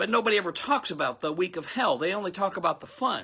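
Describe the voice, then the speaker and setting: A man's raised, projected voice with a bright, sharp tone and lively intonation, on a very clean recording with a silent background. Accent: American. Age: 60s. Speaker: pastor. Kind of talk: sermon. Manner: animated.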